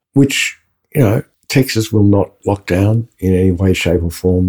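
A man's very deep, low voice in an Australian accent, dark and mellow in tone and somewhat breathy. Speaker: podcast co-host. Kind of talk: interview.

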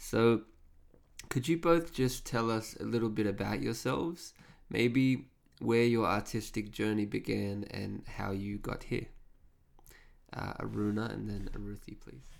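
A man with an Australian accent speaks with big swings in loudness and long, frequent pauses. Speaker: podcast host. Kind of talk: interview.

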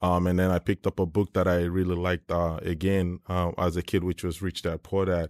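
A man with a very deep, low pitch talks at a fairly quick pace with hardly any pauses, very even loudness and monotone, flat intonation, in a dry, close sound with no echo on a very clean recording with a silent background. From Nigeria. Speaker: startup CEO. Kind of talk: interview.

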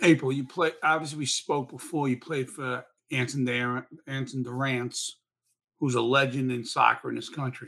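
The tone is bright and sharp, set at a moderate pace. The intonation is monotone and flat. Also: man, medium pitch for a man. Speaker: podcast co-host, former college soccer coach. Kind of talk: casual interview.

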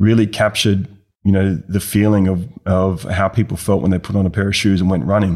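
Someone with an Australian accent speaks at a fairly quick pace with very even loudness. The intonation stays fairly even throughout. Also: man, fairly low pitch for a man. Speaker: business advisor, former bank finance chief. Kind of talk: interview.

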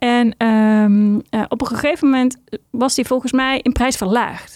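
The recording is dry and close with no echo as a woman speaks at a fairly slow pace in a fairly high pitch, her tone clear, smooth and slightly mellow and her intonation fairly even.

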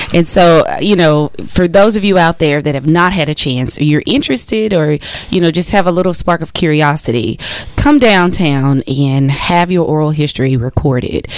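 A woman with an American accent talks in a very deep, low pitch with ordinary pitch variation. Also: moderate pace. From US South. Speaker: radio co-host. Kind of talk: radio talk show. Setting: radio studio.

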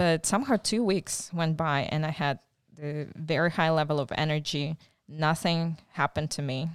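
A woman with a Ukrainian accent, very deep, low pitch, ordinary pitch variation and moderate pace, on a very clean recording with a silent background. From Ukraine, raised partly in Czechoslovakia. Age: 40s. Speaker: missionary volunteer. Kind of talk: interview. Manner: halting.

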